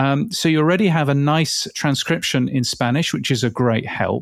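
A man talks with a British accent at a fairly high pitch. The sound is dry and close, with no echo. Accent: English, clearly British. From England. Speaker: podcast industry expert. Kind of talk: casual interview chat. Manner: measured, hesitant with filler words.

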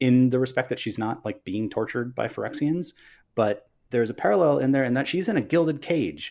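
A man with an American accent, a plain, everyday voice, lively intonation and a moderate pace. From Northern California. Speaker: game designer, creative lead. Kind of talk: casual interview. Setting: livestream.

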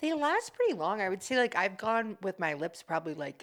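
At a fairly quick pace, a woman talks in an American accent with an unremarkable speaking voice. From US East Coast, near Washington DC. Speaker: hairstylist and aspiring actor. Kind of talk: casual chat.

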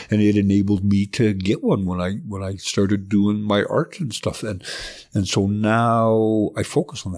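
In a western Canadian accent, a man speaks at a moderate pace and a fairly low pitch with fairly even intonation. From southern Alberta, Canada. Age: 50s. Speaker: artist in recovery. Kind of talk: personal testimony in interview. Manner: halting.

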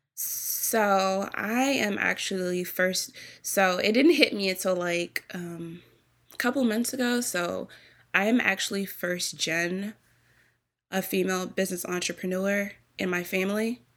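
A woman speaks in a normal speaking voice at medium pitch, with ordinary pitch variation and a fairly slow pace, on a very clean recording with a silent background. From US Virgin Islands, raised in Maryland area. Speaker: baker and bakery owner. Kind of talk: interview answers, casual.

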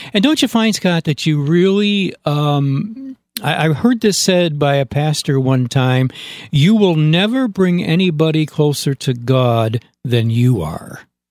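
Talking at a fairly slow pace with an American accent, a man uses a fairly high pitch with very wide swings. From upstate New York. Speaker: podcast host. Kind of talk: casual interview. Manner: halting.

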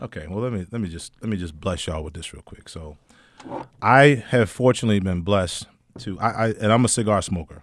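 A man's fairly low, normal speaking voice at a fairly quick pace, with big swings in loudness and ordinary pitch variation. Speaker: cigar company owner and entrepreneur. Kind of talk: casual radio interview. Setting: radio studio. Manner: joking, laughs often.

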